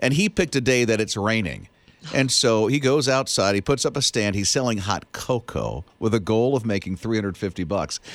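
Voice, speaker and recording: An animated tone at a fairly quick pace, with ordinary pitch variation and very even loudness. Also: man, medium pitch for a man. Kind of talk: radio DJ banter, morning-show patter trading quips and riffing on quirky news stories.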